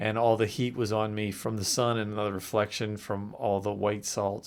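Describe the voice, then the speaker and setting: A man's fairly low voice, flat and monotone, at a moderate pace on a very clean recording with a silent background. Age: 50s. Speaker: travel vlogger. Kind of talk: casual travel vlog narration. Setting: outdoors in desert heat. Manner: casual, halting with fillers.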